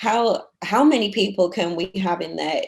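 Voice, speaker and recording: A woman talks with a British accent at a moderate pace. Her pitch variation is ordinary. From United Kingdom. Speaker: nonprofit auction operations manager. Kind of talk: interview answer.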